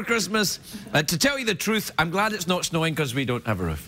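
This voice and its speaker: Over light background noise, a man talks at a fairly quick pace in a raised, projected voice. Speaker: talk show host. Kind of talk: comedy monologue. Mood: playful, self-mocking. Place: stage. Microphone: lapel.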